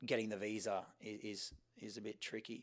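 With an Australian accent, a man speaks fairly slowly in a fairly low voice. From Sydney, Australia. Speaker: fashion model. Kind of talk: interview.

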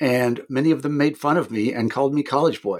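A man talks at a moderate pace with an American accent. His medium-pitched voice keeps a fairly even intonation. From Kansas, US Midwest. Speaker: podcast host, editor. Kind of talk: interview.

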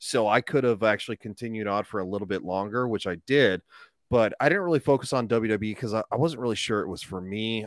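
A man speaks in an ordinary speaking voice, fairly low in pitch and at a fairly quick pace, with ordinary pitch variation and a dry, close sound with no echo. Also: very clean recording, silent background. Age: 30s. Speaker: YouTuber. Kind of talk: casual chat.

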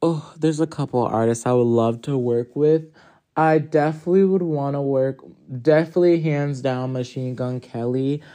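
A man with an American accent speaks at a fairly high pitch and a moderate pace against a quiet background. It is an ordinary speaking voice with ordinary pitch variation. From US Northeast, Hartford, Connecticut. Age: 20s. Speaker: musician. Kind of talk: casual interview.

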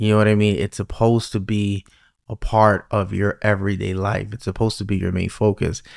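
A man with a New York accent speaks fairly quickly in a monotone, flat intonation at a fairly low pitch, the sound dry and close with no echo. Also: very clean recording, silent background. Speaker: podcast host. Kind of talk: casual interview chat.

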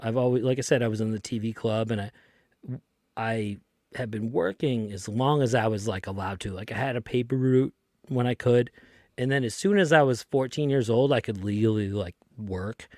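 A man with an American accent speaks at a moderate pace in a medium pitch, his intonation rising and falling in the usual way. It's a plain, everyday voice, recorded dry and close with no echo, very clean against a silent background. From Lynn, Massachusetts (Boston area). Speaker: podcast guest. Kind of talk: casual chat.

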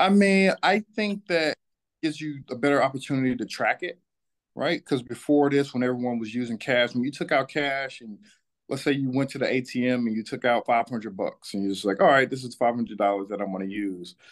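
A man with an ordinary speaking voice and an American accent, medium pitch, lively intonation and a fairly quick pace, against a quiet background. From Atlanta, Georgia (US South). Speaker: financial advisor, former pro athlete. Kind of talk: interview.

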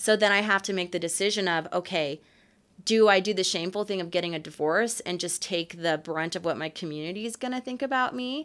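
On a very clean recording with a silent background, a woman with a normal speaking voice talks fairly quickly at a medium pitch with an American accent. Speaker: podcast host. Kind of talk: casual chat.

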